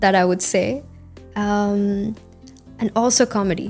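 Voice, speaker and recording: Over music in the background, a woman speaks at a fairly slow pace and a medium pitch. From India. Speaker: IELTS test candidate. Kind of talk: interview answer. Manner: fluent.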